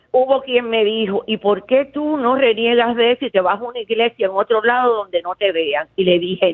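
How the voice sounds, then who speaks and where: This woman speaks with a Cuban accent at a fairly high pitch. Her pace is moderate and her pitch varies in an ordinary way. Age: 70s. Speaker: caller, retired teacher. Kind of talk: call-in radio chat. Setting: phone call. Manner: talkative.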